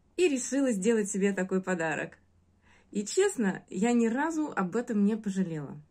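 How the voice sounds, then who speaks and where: At a moderate pace and against a quiet background, a woman speaks in a dark, mellow, somewhat breathy tone with lively intonation. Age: 40s. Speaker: course student giving a testimonial. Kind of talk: testimonial; casual testimonial talk. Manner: hesitant, with filler sounds. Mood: warm, grateful. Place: home room. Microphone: phone near.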